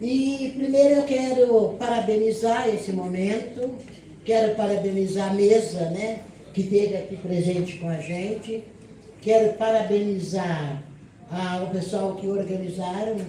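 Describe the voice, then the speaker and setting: A woman talks fairly slowly at a medium pitch with ordinary pitch variation, accompanied by audible room echo and noticeable background noise. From Brazil, Campinas (São Paulo state). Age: 70s. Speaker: union leader and nursing worker. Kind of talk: panel talk at a seminar. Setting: seminar panel, seated, with audience.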